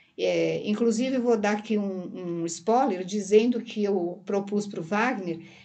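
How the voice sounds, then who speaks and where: A woman's dark, mellow voice at a fairly slow pace, with audible room echo. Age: 60s. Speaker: therapist and hypnosis teacher. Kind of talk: casual interview chat. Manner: halting.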